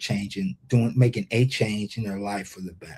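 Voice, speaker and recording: A somewhat breathy man's voice at a moderate pace, with ordinary pitch variation. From Ohio, US Midwest. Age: 60s. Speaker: leadership speaker and workforce development expert. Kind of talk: interview. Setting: live stream interview. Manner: halting, many repetitions.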